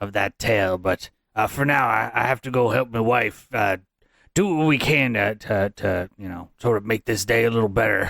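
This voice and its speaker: In a very clean recording with a silent background, a man uses a raspy put-on character voice at a medium pitch. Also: moderate pace. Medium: actual play. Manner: rambling, hesitant, folksy.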